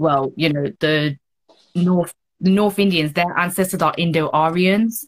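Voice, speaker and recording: With a London accent, a woman speaks in a fairly low voice. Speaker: model and activist. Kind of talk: interview conversation. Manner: animated.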